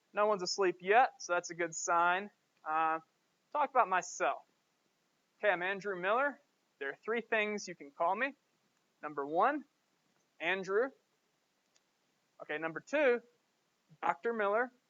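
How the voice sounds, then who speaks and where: A high-pitched man with a Southern US accent, lively intonation, a moderate pace and long, frequent pauses. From US South, Georgia. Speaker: professor. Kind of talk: lecture. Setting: classroom.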